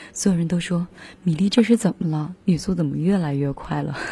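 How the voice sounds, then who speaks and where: A woman speaks at a moderate pace with a very deep, low pitch and ordinary pitch variation. Her tone is dark, mellow and relaxed, and somewhat breathy. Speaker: radio music show host. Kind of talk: casual radio talk between songs. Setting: radio studio. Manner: relaxed and informal.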